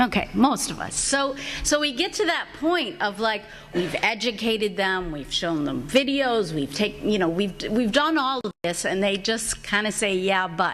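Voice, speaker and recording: A woman speaks loudly at a moderate pace with very wide pitch swings. Audible room echo and noticeable background noise come through. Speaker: advocacy organizer, panelist. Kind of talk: conference talk.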